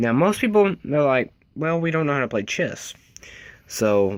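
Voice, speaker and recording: Speaking at a moderate pace, a man swings his pitch very widely. The recording is very clean, with a silent background. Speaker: gaming youtuber. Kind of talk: tutorial. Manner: casual.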